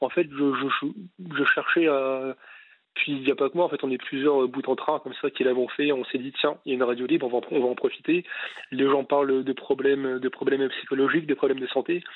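A man's fairly high voice at a fairly quick pace, with monotone, flat intonation. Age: 20s. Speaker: radio caller. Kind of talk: casual chat. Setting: phone call. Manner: halting.

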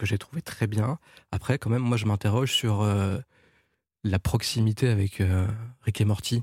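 A man with a fairly low, somewhat breathy voice speaks at a moderate pace with fairly even intonation and long, frequent pauses. The sound is dry and close with no echo, on a very clean recording with a silent background. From Ivory Coast and France. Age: 40s. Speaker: animation producer. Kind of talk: casual chat. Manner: halting.

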